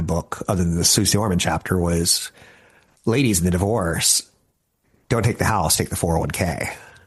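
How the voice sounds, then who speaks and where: A man talks at a fairly quick pace. His fairly low voice is somewhat breathy. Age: 50s. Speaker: financial radio host. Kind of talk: casual talk show monologue. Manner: animated.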